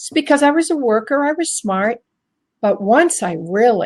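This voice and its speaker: A somewhat breathy voice with very wide pitch swings, spoken at a moderate pace. The sound is dry and close, with no echo. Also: woman. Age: 60s. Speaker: inspirational speaker and women's coach. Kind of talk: interview. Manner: energetic.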